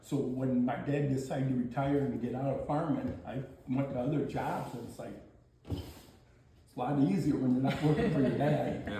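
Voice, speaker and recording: There is audible room echo and noticeable background noise. A man with an American accent speaks at medium pitch and a moderate pace with ordinary pitch variation. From US Midwest, rural Ohio. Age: 60s. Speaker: retired farmer. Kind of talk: casual chat.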